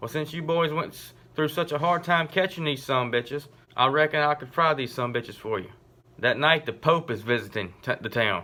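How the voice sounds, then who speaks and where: At a moderate pace, a man speaks in a normal speaking voice, fairly high in pitch with ordinary pitch variation. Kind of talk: joke telling. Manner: casual storytelling.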